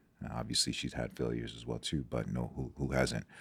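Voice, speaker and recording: A man's very deep, low voice with vocal fry. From Nigeria, moved to US as a child. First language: Igbo. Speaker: sports doctor. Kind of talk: podcast interview. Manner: halting, with frequent fillers and repetitions.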